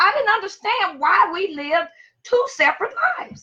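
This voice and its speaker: A woman's raised, projected voice, bright and sharp in tone, with very wide pitch swings at a moderate pace. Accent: Louisiana. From US South, Monroe, Louisiana. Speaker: teacher. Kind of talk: personal storytelling on livestream.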